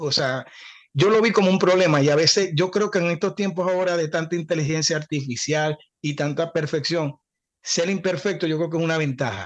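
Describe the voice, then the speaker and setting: A man with a Zulian Venezuelan accent speaks at a high pitch and a fairly quick pace with ordinary pitch variation. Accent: Zulian Venezuelan Spanish with voseo. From Venezuela, Cabimas (Zulia). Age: 40s. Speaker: singer and podcast co-host. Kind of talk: casual chat.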